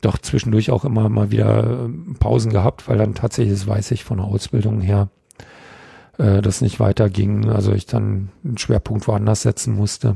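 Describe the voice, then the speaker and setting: Fairly low-pitched male voice with a dry, close sound and no echo. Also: ordinary pitch variation, moderate pace. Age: 50s. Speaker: kendo trainer. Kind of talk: casual interview. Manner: halting, many fillers.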